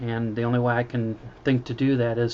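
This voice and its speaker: This soft-spoken man talks at a medium pitch with monotone, flat intonation. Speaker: poet and funeral director. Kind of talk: casual vlog monologue. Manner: halting, many fillers.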